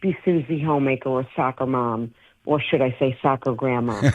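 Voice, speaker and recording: The speaker is a woman. She has a strong New York accent. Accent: thick New York. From New York City, Brooklyn. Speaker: actor and stand-up comedian. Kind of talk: interview.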